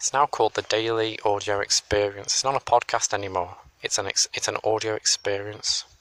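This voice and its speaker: A quiet man with an English accent talks at a fairly quick pace and a fairly low pitch. His intonation is fairly even, and the sound is dry and close with no echo. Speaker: solo podcaster. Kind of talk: casual monologue. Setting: outdoors on a hill.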